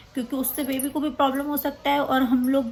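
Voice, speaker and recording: A woman speaks at a moderate pace. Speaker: vlogger. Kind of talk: casual vlog talk.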